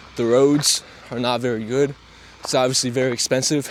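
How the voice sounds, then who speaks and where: Medium-pitched male voice at a moderate pace over noticeable background noise. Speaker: travel vlogger. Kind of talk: travel vlog. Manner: casual.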